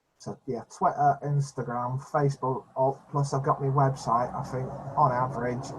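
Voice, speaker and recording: Using monotone, flat intonation, a man with a medium-pitched, somewhat breathy voice speaks at a moderate pace. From UK. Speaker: epilepsy channel host. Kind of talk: casual video chat. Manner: stammering, repeats words.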